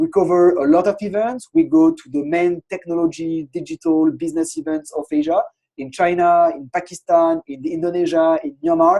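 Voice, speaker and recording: A man with a French accent speaks at a moderate pace with hardly any pauses. His loudness swings in big ways. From France. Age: 30s. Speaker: innovation consultancy founder. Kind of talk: webinar presentation. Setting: online webinar with screen share.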